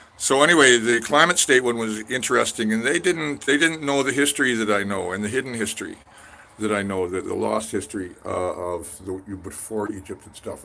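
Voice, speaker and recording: A man speaks at a fairly quick pace with an western Canadian accent and a bright, sharp tone. His pitch varies in an ordinary way. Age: 60s. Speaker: independent scholar vlogger. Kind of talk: casual monologue vlog. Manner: rambling with many fillers and false starts.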